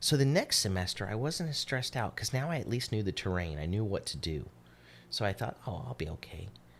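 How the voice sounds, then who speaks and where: On a very clean recording with a silent background, a man with a fairly low, somewhat breathy voice talks at a fairly quick pace with very wide pitch swings. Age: 40s. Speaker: podcast co-host. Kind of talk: casual chat. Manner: halting.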